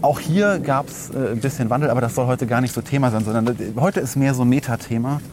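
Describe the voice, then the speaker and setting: Against noticeable background noise, a man with a medium pitch and ordinary pitch variation talks at a very fast pace. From Rhineland, Germany (Langenfeld). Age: 30s. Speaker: podcast host. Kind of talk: casual chat.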